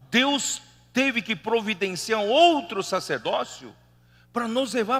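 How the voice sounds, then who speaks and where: A man with a non-native accent speaks at an extremely high pitch. His tone is animated and his intonation lively. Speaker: preacher. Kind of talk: sermon. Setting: church meeting hall.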